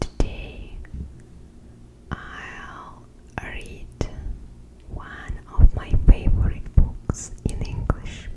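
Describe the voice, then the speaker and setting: A woman whispers very slowly amid noticeable background noise, pausing long and often as her volume rises and falls sharply. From Russia. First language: Russian. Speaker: ASMR creator. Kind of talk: casual talk to camera.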